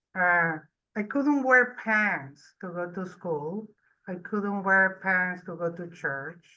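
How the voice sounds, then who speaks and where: Speaking at a very slow pace and a medium pitch, a woman shows ordinary pitch variation and big swings in loudness. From Venezuela. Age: 60s. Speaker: audience member asking a question. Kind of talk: audience question. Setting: live event audience, college. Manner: halting.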